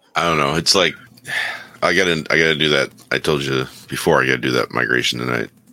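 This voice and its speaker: A very fast-talking man with a very deep, low pitch, ordinary pitch variation, very even loudness and long, frequent pauses, over noticeable background noise. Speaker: remote co-host. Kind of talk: casual chat. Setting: video call.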